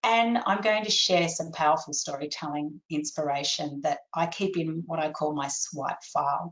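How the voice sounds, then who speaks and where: A woman with an Australian accent, very deep and low in pitch, at a moderate pace with hardly any pauses and ordinary pitch variation. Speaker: copywriter and webinar presenter. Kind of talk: webinar presentation. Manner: animated.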